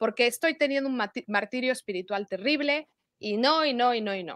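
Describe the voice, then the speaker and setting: Against a quiet background, a woman with a Mexican accent talks at a moderate pace and high pitch, the sound dry with no echo. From Mexico (Morelia, Michoacán); Michoacán, Mexico. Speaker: religious convert sharing testimony; interview guest. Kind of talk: testimony. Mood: earnest, reflective. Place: home room. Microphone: video call.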